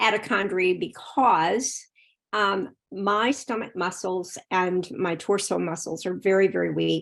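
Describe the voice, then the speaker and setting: In a very clean recording with a silent background, a woman speaks at a very slow pace with vocal fry and a medium pitch. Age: 60s. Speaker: polio survivor, audience member. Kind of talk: audience question. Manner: halting.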